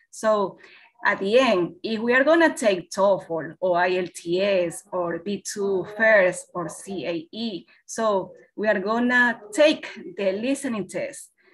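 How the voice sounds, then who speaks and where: Over light background noise, someone with a Spanish accent speaks very slowly with lively intonation. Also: woman. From Ecuador. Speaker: English teacher. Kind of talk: webinar presentation. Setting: video call. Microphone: webcam.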